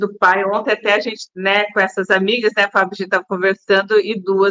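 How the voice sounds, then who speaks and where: A woman's medium-pitched voice, bright and sharp in tone, with a dry, close sound and no echo. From Brazil, Pindamonhangaba (São Paulo state). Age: 50s. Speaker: entrepreneur and TV show co-host. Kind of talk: casual interview chat.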